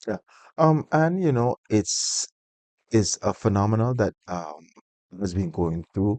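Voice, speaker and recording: Over a quiet background, a man with a St Martin accent speaks at a very slow pace and fairly low pitch, in a dark, mellow tone with very wide pitch swings. Long, frequent pauses break his speech, and the sound is dry and close with no echo. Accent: St. Martin Caribbean English. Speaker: interview guest. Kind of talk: interview conversation.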